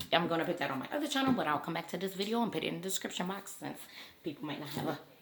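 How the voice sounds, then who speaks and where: Over noticeable background noise, a woman speaks in a fairly low pitch with very wide pitch swings. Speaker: YouTuber. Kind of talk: casual commentary vlog. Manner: fast.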